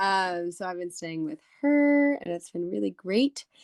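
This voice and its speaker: Recorded dry and close with no echo, a woman with an American accent talks with very wide pitch swings. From United States. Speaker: podcast co-host. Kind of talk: casual chat.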